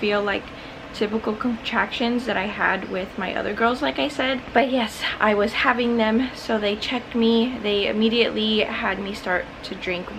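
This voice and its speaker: Woman at a moderate pace, ordinary pitch variation, noticeable background noise. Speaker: vlogger. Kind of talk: casual vlog chat. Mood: calm, light laughs. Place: home room. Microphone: phone near.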